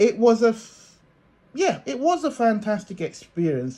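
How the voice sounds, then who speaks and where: A man speaks with a dark, mellow tone at a fairly slow pace. His pitch swings very widely. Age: 60s. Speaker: video blogger and dance reviewer. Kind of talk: spoken review. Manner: halting, with many fillers and restarts.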